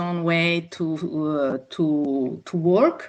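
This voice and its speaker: Against a quiet background, a woman with an Italian accent speaks very slowly at a fairly low pitch. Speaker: yoga teacher. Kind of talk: online workshop talk. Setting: video call.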